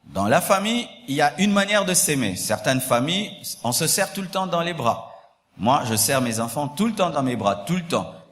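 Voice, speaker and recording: Audible room echo surrounds a man with a fairly high voice. He speaks at a moderate pace with very wide pitch swings. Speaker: pastor. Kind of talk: sermon. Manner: repetitive, emphatic.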